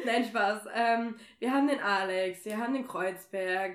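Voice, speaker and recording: Pitched fairly high, a woman talks in a plain, everyday voice with ordinary pitch variation. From Germany, Nordheim. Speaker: podcast host. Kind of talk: casual chat. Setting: in person at a home in Kassel.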